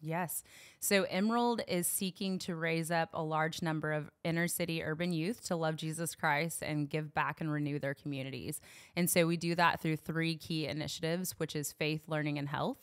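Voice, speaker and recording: A woman with a fairly low pitch and a slight Southern US accent speaks at a moderate pace with fairly even intonation, in a very clean recording with a silent background. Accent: barely any Southern twang. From Knoxville, Tennessee. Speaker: youth ministry worker. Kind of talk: casual chat.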